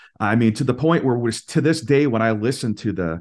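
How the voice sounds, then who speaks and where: With an American accent and an unremarkable speaking voice, a man talks at a medium pitch and a fairly quick pace. His intonation is lively, and the background is quiet. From Minnesota, US Midwest. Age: 40s. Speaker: singer-songwriter. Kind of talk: casual interview chat.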